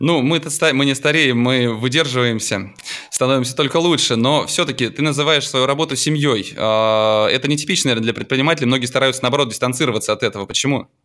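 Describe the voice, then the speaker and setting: Very fast speech from a man, medium in pitch, bright and sharp in tone, with ordinary pitch variation and very even loudness. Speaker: podcast host. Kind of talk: casual interview.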